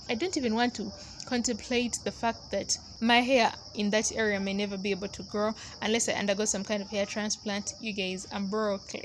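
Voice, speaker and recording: With a non-native accent, a woman speaks at a moderate pace in a fairly high pitch and monotone, flat intonation over noticeable background noise. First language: not English. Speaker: hair care vlogger. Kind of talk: casual tutorial voiceover. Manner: casual, conversational.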